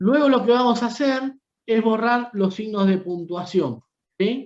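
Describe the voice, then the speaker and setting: Speaking with a Rioplatense accent at a fairly slow pace, a man with a high pitch keeps very even loudness and ordinary pitch variation. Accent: Argentine Rioplatense Spanish. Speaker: university lecturer. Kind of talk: lecture. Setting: video call.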